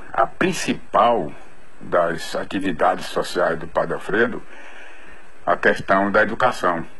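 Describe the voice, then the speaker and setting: A man talks at a very slow pace, leaving long, frequent pauses, while noticeable background noise and audible room echo surround him. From interior Bahia, Brazil (Ourolândia/Jacobina). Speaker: doctor giving testimony. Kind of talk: recorded testimony.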